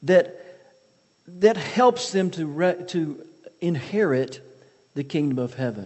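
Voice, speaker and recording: A high-pitched man with a Southern US accent and lively intonation. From US South (Mississippi). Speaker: missionary and author. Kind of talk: sermon. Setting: church.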